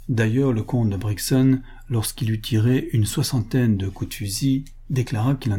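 The voice sounds natural. It is reading aloud.

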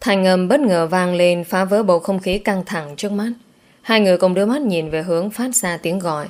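A natural read-aloud voice with ordinary pitch variation

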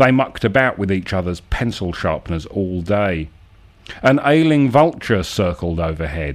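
Very deep and low in pitch, a man speaks at a fairly slow pace with very wide pitch swings. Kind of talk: dramatic narration of absurdist prose, accusatory second-person address. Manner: measured, rhythmic, formal storyteller cadence.

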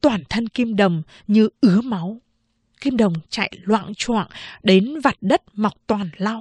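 A quiet background behind a natural voice reading aloud, with ordinary pitch variation

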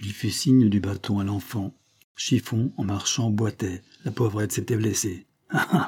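The speaker reads in a natural manner. The pitch holds fairly level over a silent background.

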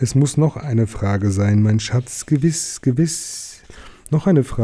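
The reading voice is unforced, and its intonation stays lively throughout.

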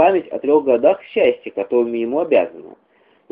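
Reading aloud, plainly

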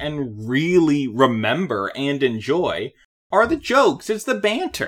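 Loud and bright with a sharp tone, a man's voice moves through very wide pitch swings. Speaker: podcast co-host. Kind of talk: casual chat.

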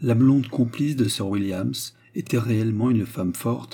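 This is plain reading aloud. The pitch varies an ordinary amount.

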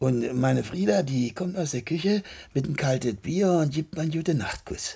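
Putting on a character voice with a Berlin accent, a man speaks at a moderate pace with a fairly high, dark and mellow voice, vocal fry, a slightly husky edge and lively intonation.

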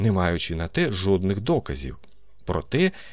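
Intonation rises and falls in a lively way. The text gets plain reading aloud.

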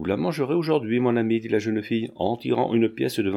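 An unforced reading voice is heard. The pitch varies in an ordinary way.

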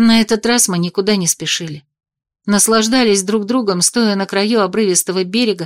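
Plain reading aloud comes through with little else to be heard behind it.

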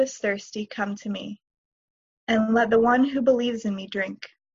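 A woman with a fairly high, somewhat breathy voice speaks at a moderate pace in a monotone, flat intonation. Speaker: congregation member reading scripture. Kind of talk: scripture reading.

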